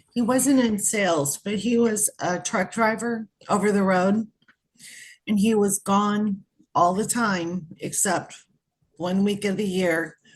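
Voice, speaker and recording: Ordinary pitch variation runs through a woman's medium-pitched, somewhat breathy voice. She speaks at a very slow pace. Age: 60s. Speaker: audience member at reading. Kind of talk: casual chat.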